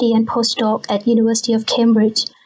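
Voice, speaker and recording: A woman's high-pitched voice in a Thai accent. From Bangkok, Thailand. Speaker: scientist. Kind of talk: casual interview.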